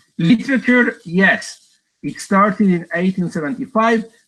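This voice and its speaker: Bright, sharp male voice, high in pitch, in an Argentine accent, fairly slow, with lively intonation. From Argentina. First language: Spanish. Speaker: professor. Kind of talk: lecture. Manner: halting, many fillers and repeats.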